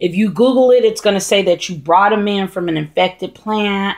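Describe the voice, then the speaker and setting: With ordinary pitch variation and a medium pitch, the woman has an unremarkable speaking voice. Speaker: houseplant vlogger. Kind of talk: casual tutorial vlog. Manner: rambling with many fillers.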